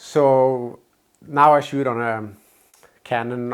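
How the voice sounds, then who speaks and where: A man talks at a medium pitch. His intonation is fairly even. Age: 50s. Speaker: video maker. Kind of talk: casual talk to camera. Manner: hesitant.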